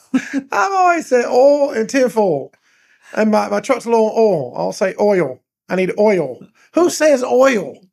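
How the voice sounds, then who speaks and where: Speaking at a very slow pace in a strong southern Georgia accent, a man with a high pitch makes very wide pitch swings, captured in a very clean recording with a silent background. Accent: rural southern Georgia dialect, strong. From US South, Douglas, Georgia. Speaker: pastor. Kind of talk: casual chat. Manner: animated.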